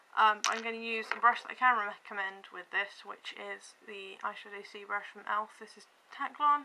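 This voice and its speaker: A woman's fairly high voice with fairly even intonation, big swings in loudness, and noticeable background noise. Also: moderate pace. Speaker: beauty vlogger. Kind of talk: makeup tutorial talk to camera. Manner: rambling, hesitant.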